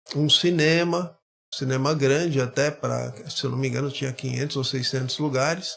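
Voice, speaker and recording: Man with a plain, everyday voice, fairly high pitch, fairly even intonation and a fairly slow pace. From Brazil, Guarujá (São Paulo coast). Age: 60s. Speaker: historian. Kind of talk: podcast interview, personal life story.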